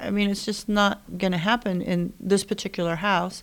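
A woman's ordinary speaking voice, pitched in the middle range, moves along at a moderate pace. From rural Indiana, US. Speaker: real estate agent. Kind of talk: casual chat. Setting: studio.

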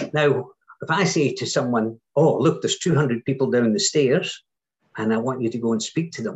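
A fairly high, somewhat breathy man's voice with lively intonation. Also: moderate pace. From Scotland. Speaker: entrepreneur and workshop speaker. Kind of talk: podcast interview.

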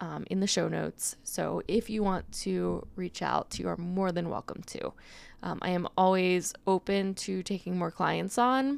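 Spoken at a fairly slow pace, this very clean recording has a completely silent background. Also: woman. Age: 20s. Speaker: podcast host and nutrition coach. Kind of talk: casual solo podcast talk.

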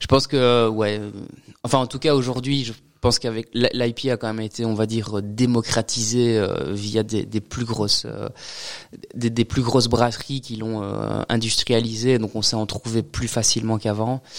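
A man delivers his words in a monotone, flat intonation at medium pitch and a moderate pace. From Belgium, Liège region. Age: 30s. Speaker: craft brewer. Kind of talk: casual interview.

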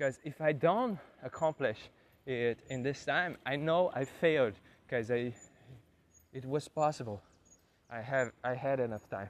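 A man at medium pitch speaks with long, frequent pauses. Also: ordinary pitch variation, moderate pace. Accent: Portuguese. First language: Portuguese. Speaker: podcaster learning English. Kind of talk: solo monologue. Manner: halting.

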